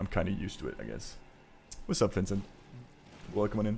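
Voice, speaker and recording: A fairly low male voice with vocal fry and ordinary pitch variation. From Belgium. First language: not English. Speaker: gaming streamer. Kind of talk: casual live stream commentary while gaming. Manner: casual, filler-heavy.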